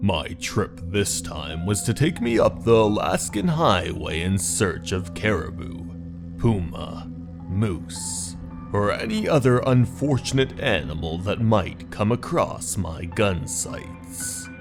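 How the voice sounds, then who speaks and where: Over loud background music, a man with a very deep, low pitch speaks at a fairly slow pace. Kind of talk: horror narration. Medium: read story.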